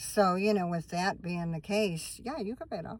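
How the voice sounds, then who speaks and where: With lively intonation and a moderate pace, a woman speaks at a medium pitch in a plain, everyday voice. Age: 60s. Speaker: van-dwelling vlogger. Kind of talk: casual chat. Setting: in a van. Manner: rambling, conversational.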